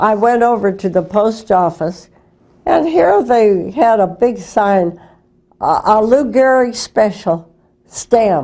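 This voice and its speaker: Speaking very slowly with an American accent, a woman uses a fairly high pitch, a dark, mellow tone, lively intonation and very even loudness. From St. Louis, Missouri, USA. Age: 80s+. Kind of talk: interview answer, reminiscing. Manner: hesitant, with many fillers.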